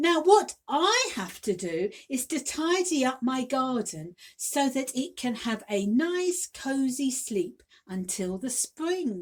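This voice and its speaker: A woman performs a put-on character voice that is squeaky and high in pitch. She delivers it at a fairly slow pace. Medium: read story.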